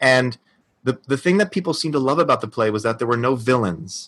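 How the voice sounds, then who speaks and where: Speaking in an unremarkable speaking voice with an American accent, a man at medium pitch shows ordinary pitch variation over a quiet background. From New Jersey. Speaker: actor. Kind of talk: recorded personal story.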